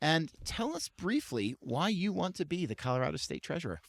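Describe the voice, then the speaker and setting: With vocal fry and very wide pitch swings, a man talks at a fairly quick pace and a fairly high pitch, the sound dry and close with no echo. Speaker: podcast host, interviewer.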